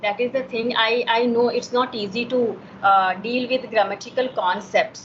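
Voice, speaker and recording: A woman with an Indian accent at a moderate pace, amid noticeable background noise. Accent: Indian English (Hindi). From Himachal Pradesh, India. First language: Hindi. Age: 40s. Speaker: homemaker. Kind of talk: English conversation practice. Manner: halting, many fillers.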